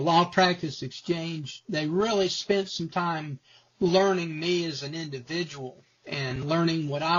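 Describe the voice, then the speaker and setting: Using a plain, everyday voice, a man speaks at a fairly slow pace. His pitch is fairly high and his intonation fairly even. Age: 60s. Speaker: retired lawyer. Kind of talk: testimonial interview.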